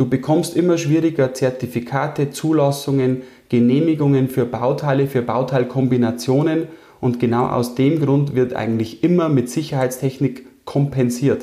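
A man talks at a moderate pace with a medium pitch and a dark, mellow tone. His intonation is fairly even and his loudness very even. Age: 30s. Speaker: engineering firm owner. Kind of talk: interview.

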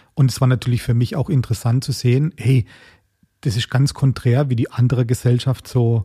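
This man talks at a moderate pace in a medium pitch, his somewhat breathy voice dark and mellow in tone, with a dry, close sound and no echo. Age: 40s. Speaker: chef. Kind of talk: interview.

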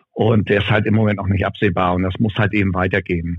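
The man talks very fast at a fairly low pitch. His intonation is monotone and flat. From northern Germany, North Frisia. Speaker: arena announcer and DJ. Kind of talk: casual interview. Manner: loud.

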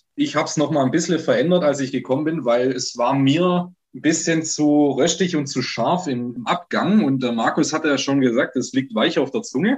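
An unremarkable speaking voice from a man, fairly high in pitch, at a moderate pace with ordinary pitch variation and hardly any pauses. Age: 20s. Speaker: brewer. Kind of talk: podcast interview.

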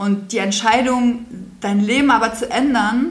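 A woman is speaking. Room echo is audible. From Brandenburg, eastern Germany. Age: 40s. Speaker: children's home founder. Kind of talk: interview.

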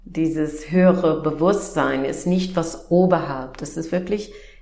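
The woman's voice sits fairly low, and her intonation stays fairly even. She speaks at a very slow pace, with audible room echo around her. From US Midwest. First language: English (speaking German). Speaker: naturopath and energy coach. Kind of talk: interview. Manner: halting.

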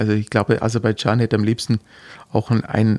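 The recording is very clean, with a silent background and a dry, close sound with no echo. A man speaks at a moderate pace and a medium pitch. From Heidenheim district, Swabia (Baden-Württemberg). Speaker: physiotherapist for athletes. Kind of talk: interview. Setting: studio. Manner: halting, many fillers.

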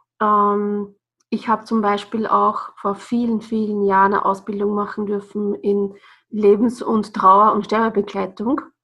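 At a fairly slow pace, a woman talks in a medium-pitched voice. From Austria, Burgenland (Bad Sauerbrunn). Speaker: yoga and breathing trainer. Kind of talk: podcast interview.

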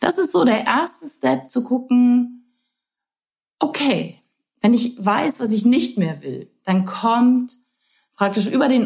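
A woman talks very slowly in a fairly high voice, leaving long, frequent pauses. Her intonation is lively. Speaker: podcast host. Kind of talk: personal monologue. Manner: warm, gently animated with laughs.

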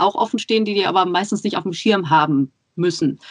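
Very fast speech from a woman, with ordinary pitch variation and a dry, close sound with no echo. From Germany, Ruhr area. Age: 30s. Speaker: podcaster and mother. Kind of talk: casual interview. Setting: Skype call.

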